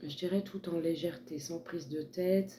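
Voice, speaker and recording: Soft-spoken, a woman talks at a fairly slow pace. Her pitch sits very deep and low. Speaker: tarot card reader. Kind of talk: tarot reading. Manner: hesitant.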